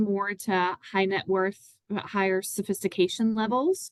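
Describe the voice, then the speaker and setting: Dry and close with no echo, a woman speaks in a Southern US accent at a fairly slow pace and a fairly high pitch. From US South, Tennessee. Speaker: financial advisor. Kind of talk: webinar conversation.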